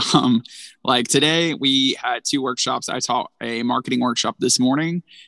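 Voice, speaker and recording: Speaking with an Alabama accent, a man uses a bright, sharp tone at medium pitch, ordinary pitch variation and a moderate pace, in dry, close sound with no echo. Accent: Southern US (Alabama). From North Alabama, US South. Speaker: small business program manager. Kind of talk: casual interview.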